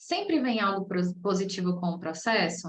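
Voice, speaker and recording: This is a woman's voice at medium pitch. It sounds somewhat breathy. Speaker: process management specialist teaching a masterclass. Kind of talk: online lecture. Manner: casual, conversational.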